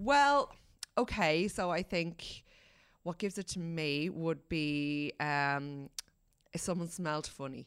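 With an Irish accent, a woman speaks at a very slow pace in a fairly low pitch and lively intonation. The recording is very clean, the background silent. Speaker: newspaper features editor and columnist, podcast co-host. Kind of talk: casual chat.

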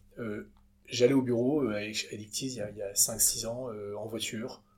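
A man's medium-pitched voice at a very slow pace with fairly even intonation, over noticeable background noise. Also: long, frequent pauses. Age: 30s. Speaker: entrepreneur, company co-founder. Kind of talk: interview conversation. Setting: company offices. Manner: halting, many repetitions and fillers.

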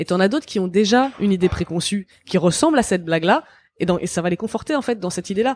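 A woman's medium-pitched voice at a very fast pace, in a dry, close sound with no echo and a very clean recording with a silent background. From France. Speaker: author and feminist. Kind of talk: interview.

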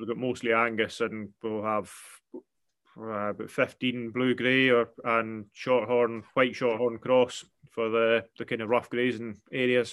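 Against a quiet background, a man speaks fairly slowly in a monotone, flat intonation. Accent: Scottish island. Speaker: farmer. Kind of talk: casual interview chat.

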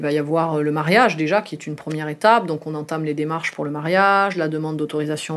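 In a quiet setting, a woman speaks with a very deep, low pitch and fairly even intonation. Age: 30s. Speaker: mother telling her love story. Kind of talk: personal testimony. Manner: hesitant, with frequent fillers.

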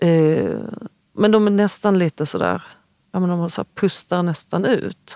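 This woman has a fairly low pitch and a dark, mellow tone. The sound is dry and close, with no echo. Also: fairly slow pace. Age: 40s. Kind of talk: interview conversation. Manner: halting, many fillers and restarts.

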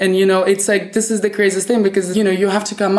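The speaker is a woman with a Russian accent. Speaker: fashion stylist. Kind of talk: interview. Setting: hotel room.

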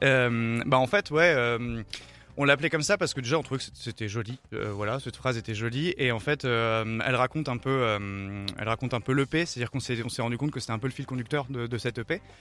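A man speaks at a fairly quick pace with a medium pitch, ordinary pitch variation and a bright, sharp tone. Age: 30s. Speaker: rock band member. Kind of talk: interview. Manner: halting.

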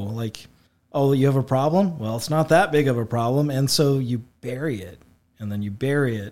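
Here is a plain, everyday voice: a man speaking in an American accent. He uses a medium pitch, ordinary pitch variation and a moderate pace. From Illinois, Effingham area. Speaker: church member sharing testimony. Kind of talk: testimony. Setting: studio.

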